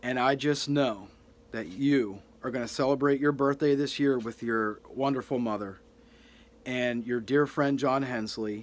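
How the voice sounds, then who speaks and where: A soft-spoken man talks at a fairly slow pace with fairly even intonation. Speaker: youtuber. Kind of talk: heartfelt birthday tribute to a deceased internet personality. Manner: earnest, sentimental, gently reverent; slightly halting with soft humor. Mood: sincere, tender, sentimental. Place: home room. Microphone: phone near.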